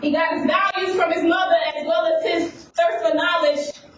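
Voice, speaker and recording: A woman speaks at an extremely high pitch and a moderate pace, her intonation lively. Noticeable background noise sits behind her. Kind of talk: slam poetry performance. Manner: storytelling slam delivery about a young man.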